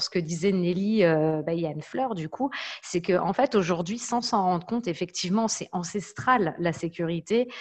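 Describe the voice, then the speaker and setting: A woman talks at a moderate pace with medium pitch and ordinary pitch variation. It is a normal speaking voice. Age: 30s. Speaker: data protection and security consultant. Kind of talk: online panel discussion.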